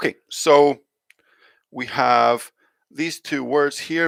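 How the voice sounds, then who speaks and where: A man with a Scottish accent, fairly high in pitch, with ordinary pitch variation and a dry, close sound with no echo. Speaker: English teacher. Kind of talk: live online pronunciation lesson. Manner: slow, clear modelling of sounds.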